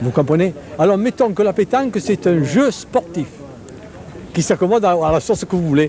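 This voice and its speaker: Background noise is noticeable behind a man's voice. He speaks at a high pitch with ordinary pitch variation. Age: 60s. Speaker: pétanque official interviewed. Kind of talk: interview. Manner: animated.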